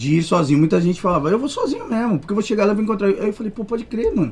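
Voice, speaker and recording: Here a man speaks in a high pitch. His intonation is lively. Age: 30s. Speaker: musician. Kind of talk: casual chat.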